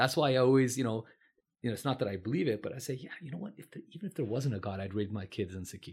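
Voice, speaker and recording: This man talks at a very fast pace in a Californian accent, with lively intonation. His voice is somewhat breathy and sits at a medium pitch. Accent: American (Californian). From California, San Francisco Bay Area. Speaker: physician. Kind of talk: interview conversation.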